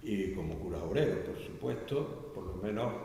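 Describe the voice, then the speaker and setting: Against noticeable background noise and audible room echo, a man with a Canary Islands accent speaks at a fairly slow pace. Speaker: Jesuit priest presenting a book. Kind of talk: book presentation talk. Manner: halting.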